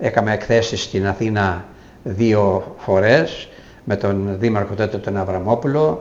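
A man is speaking. Room echo is audible in the recording. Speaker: retired school principal and former mayor. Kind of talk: interview.

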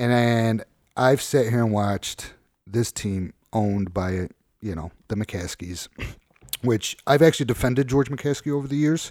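A man with an American accent has an ordinary speaking voice at a medium pitch. He speaks at a fairly slow pace, and the sound is dry and close with no echo. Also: ordinary pitch variation. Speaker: podcast host. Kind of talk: casual chat.

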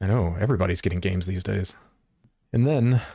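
A very fast, very deep and low male voice, dark and mellow in tone and somewhat breathy. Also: ordinary pitch variation. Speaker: podcast host; streamer. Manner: show-host announcer delivery.

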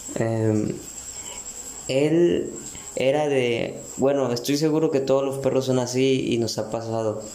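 A man talks at a very slow pace with fairly even intonation. Noticeable background noise and audible room echo fill the recording. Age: 20s. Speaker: podcaster. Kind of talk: casual monologue. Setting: bathroom at home. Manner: hesitant, many fillers.

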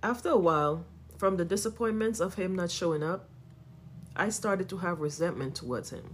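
A woman speaks at a fairly quick pace in a fairly low, somewhat breathy voice with ordinary pitch variation. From Trinidad and Tobago. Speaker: podcast host. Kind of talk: personal testimony, read from script.

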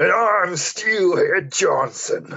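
A man performs a put-on character voice, raised and projected. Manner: bombastic, gruff.

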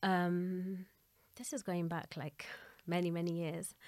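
A woman with a Gujarati accent and a fairly low pitch speaks at a fairly slow pace. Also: very clean recording, silent background. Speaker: Arabic teacher and translator. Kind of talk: interview.

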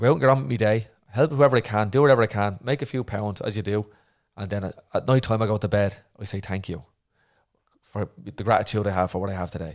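A man with an Irish accent talks at a very fast pace, his pitch fairly low with ordinary variation. The recording is very clean, with a silent background. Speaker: retired Olympic boxer and therapist. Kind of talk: casual interview chat.

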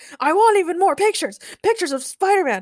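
A put-on character voice with an extremely high pitch. The words come out very fast. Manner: mocking.

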